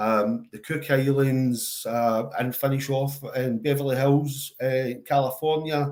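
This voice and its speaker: Speaking with a strong Glaswegian accent, a man keeps a medium pitch. His intonation is monotone and flat, and his pace is very slow. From Scotland, Glasgow. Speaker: charity worker and father. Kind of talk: interview. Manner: slow and steady.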